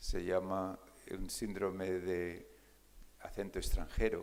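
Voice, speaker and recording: The man's fairly slow speech carries audible echo from the room. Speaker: neurologist, keynote speaker. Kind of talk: conference keynote lecture. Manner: hesitant, many fillers.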